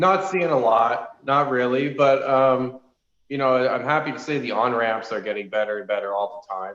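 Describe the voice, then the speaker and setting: A man with an unremarkable speaking voice talks at medium pitch and a moderate pace with ordinary pitch variation. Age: 30s. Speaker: racing club founder. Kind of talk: casual chat.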